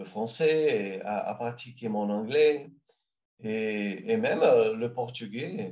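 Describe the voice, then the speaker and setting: With a Brazilian accent, a man speaks very slowly at a medium pitch, with ordinary pitch variation. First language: Brazilian Portuguese (speaking French). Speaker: language learner. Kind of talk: interview answers. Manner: halting, many hesitations.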